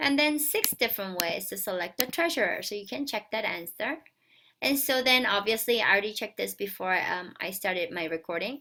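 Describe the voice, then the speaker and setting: A woman mumbles with lively intonation. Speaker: math teacher. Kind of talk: recorded lesson for students. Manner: mumbling.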